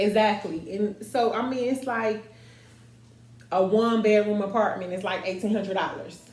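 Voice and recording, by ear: A woman's medium-pitched, slightly mellow voice at a moderate pace, with fairly even intonation and audible room echo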